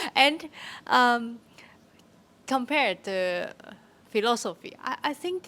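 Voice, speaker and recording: In a Chinese accent, a woman speaks at a very slow pace with lively intonation. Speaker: workshop participant. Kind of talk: group discussion. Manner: halting.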